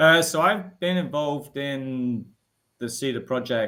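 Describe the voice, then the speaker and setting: A man's bright, sharp tone in a British accent, with lively intonation. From UK. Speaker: technical product manager, co-host. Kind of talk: casual chat.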